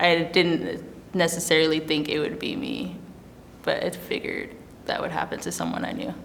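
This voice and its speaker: A woman speaks at moderate speed while audible noise runs in the background. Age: 20s. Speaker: oil painter. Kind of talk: interview answer. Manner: casual, conversational.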